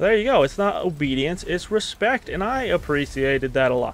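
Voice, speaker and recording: His pitch swings very widely. The man keeps a fairly quick pace. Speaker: gaming YouTuber. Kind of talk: casual gameplay commentary. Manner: fast; rambling, hesitant with fillers.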